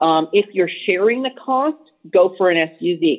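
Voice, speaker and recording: This woman speaks in an American accent. She goes at a fairly slow pace with lively intonation. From Los Angeles, California. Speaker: business professor and travel photographer. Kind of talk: casual interview chat.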